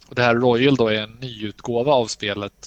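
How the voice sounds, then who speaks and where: This man's voice has vocal fry and fairly even intonation. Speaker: podcast co-host. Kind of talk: casual chat about games and films.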